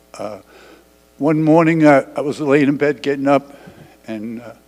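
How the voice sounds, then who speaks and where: A man with a New York accent, his pitch fairly high, at a moderate pace. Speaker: widower sharing memories. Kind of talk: memorial testimony. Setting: church memorial service with audience. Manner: halting, stumbling.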